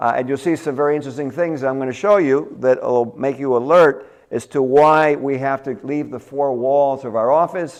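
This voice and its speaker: A man with a Cuban-American accent speaks at a moderate pace in a fairly high pitch, with fairly even intonation and hardly any pauses. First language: Spanish. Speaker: dentist. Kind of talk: lecture. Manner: halting.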